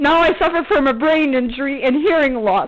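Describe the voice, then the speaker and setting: Over noticeable background noise, a woman talks at a fairly quick pace in a high pitch, with lively intonation and an animated tone. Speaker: vlogger. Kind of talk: angry rant. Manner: loud.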